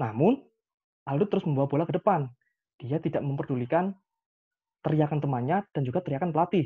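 At a fairly quick pace, a man talks with lively intonation, a fairly high pitch and a slightly husky edge.

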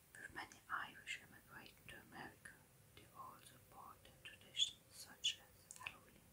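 Whispering at a moderate pace, a woman's voice shows big swings in loudness. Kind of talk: ASMR history narration. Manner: whispered.

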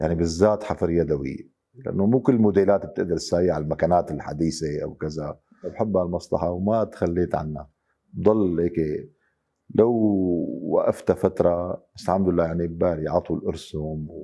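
A man speaks at a moderate pace in a Damascus accent, his pitch very deep and low, with ordinary variation. His tone is dark and mellow, and the background is quiet. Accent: Damascene Syrian Arabic. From Syria, Damascus. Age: 50s. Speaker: wood carver. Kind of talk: interview testimony. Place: workshop.

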